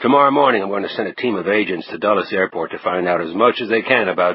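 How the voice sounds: A natural reading voice is heard. Its intonation is lively.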